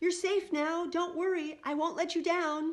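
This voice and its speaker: In a put-on character voice, a woman uses an extremely high, squeaky pitch, raised and projected, with monotone, flat intonation at a moderate pace. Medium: read story.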